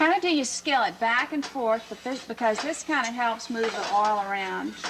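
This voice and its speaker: At a moderate pace, a woman talks with a fairly high pitch and ordinary pitch variation. Noticeable background noise runs underneath. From Louisiana. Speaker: chef. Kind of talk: cooking show instruction.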